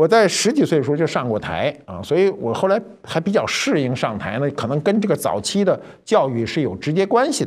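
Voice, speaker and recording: Over a quiet background, a man with a fairly high pitch and vocal fry talks at a fairly quick pace, his pitch swinging very widely. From Beijing. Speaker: cultural commentator. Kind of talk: storytelling monologue. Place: studio.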